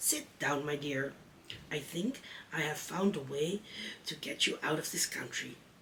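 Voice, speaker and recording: A put-on character voice, raspy and low-to-middle in pitch, at a moderate pace with long, frequent pauses, over clear background noise. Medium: read story. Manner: friendly, practical.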